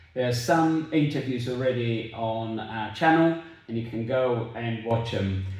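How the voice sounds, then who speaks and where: There is noticeable background noise as a man speaks at a fairly slow pace. His pitch is medium, with ordinary pitch variation. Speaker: cancer patient, support channel host. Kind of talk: casual talk to camera.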